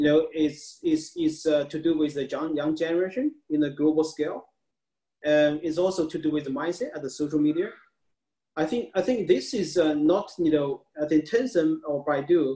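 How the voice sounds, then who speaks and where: A man with a Chinese accent talks at a moderate pace, his fairly high voice dark and mellow in tone, over a quiet background. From China. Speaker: tech media founder; interviewee. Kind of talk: interview. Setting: video call. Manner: halting. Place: home room. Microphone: video call.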